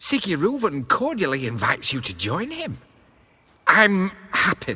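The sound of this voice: A man speaks at a fairly slow pace in a put-on character voice, pitched fairly high with a slightly husky edge. His tone is bright and sharp, and his pitch swings very widely.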